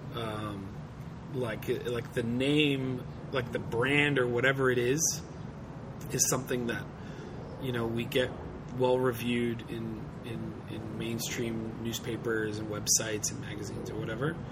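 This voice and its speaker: Over noticeable background noise, a man speaks at a fairly slow pace with long, frequent pauses and audible room echo. His medium-pitched voice keeps a monotone, flat intonation. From Australia. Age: 30s. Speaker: cartoonist. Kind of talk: interview. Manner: halting.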